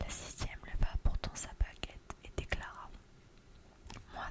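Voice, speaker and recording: The speaker is whispering. Everything unfolds at a very slow pace. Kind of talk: whispered ASMR story reading. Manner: whispered, soft.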